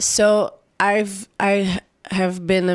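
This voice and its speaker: The speaker has an Israeli accent, captured in a very clean recording with a silent background. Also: woman. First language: Hebrew. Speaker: singer-songwriter. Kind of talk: interview. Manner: halting.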